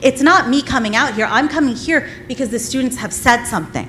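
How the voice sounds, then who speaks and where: Loud and at a very fast pace, the voice makes very wide pitch swings amid noticeable background noise. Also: woman. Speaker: parent speaking at public comment. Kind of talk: public comment debate. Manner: animated.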